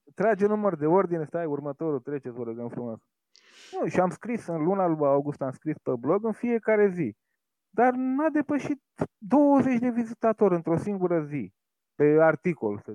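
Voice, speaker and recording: The man's voice is high and swings very widely in pitch. He keeps a moderate pace. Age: 40s. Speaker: humor blogger and short prose writer. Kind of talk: podcast interview.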